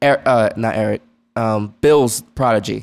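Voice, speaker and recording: A man with an American accent, medium in pitch, at a very slow pace with fairly even intonation, music in the background. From New York, north of the city. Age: 20s. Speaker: podcast co-host. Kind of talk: casual chat. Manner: halting.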